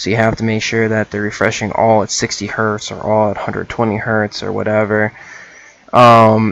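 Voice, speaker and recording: At a moderate pace, a man with a fairly low voice speaks in a dry sound with no echo. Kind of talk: tutorial.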